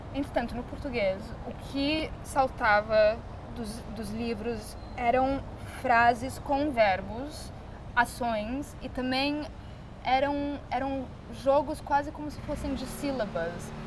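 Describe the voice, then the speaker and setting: A woman's high, very slow voice with an English accent, long, frequent pauses and audible room echo. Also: ordinary pitch variation. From Brazil. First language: English (speaking Portuguese). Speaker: artist. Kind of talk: interview.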